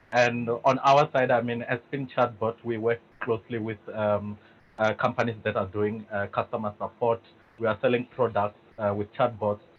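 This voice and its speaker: In a monotone, flat intonation, a man with a medium pitch speaks at a moderate pace. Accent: South African. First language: Venda. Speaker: tech company executive, panelist. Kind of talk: webinar panel discussion. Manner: hesitant, many fillers.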